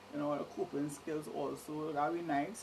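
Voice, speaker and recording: With a Trinidadian accent, a woman speaks in a very deep, low pitch, with audible room echo and noticeable background noise. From Trinidad and Tobago, Port of Spain. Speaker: vlogger. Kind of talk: casual monologue.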